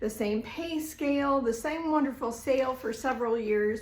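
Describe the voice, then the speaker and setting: A woman's high-pitched voice with ordinary pitch variation and audible room echo. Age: 60s. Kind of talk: live-stream sales presentation. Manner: animated.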